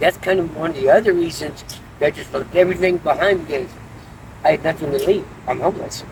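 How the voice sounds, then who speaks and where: A man talks at a very fast pace with a high pitch and fairly even intonation. Noticeable background noise runs under the recording. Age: 60s. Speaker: homeless man in recovery interview. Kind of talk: street interview. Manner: halting.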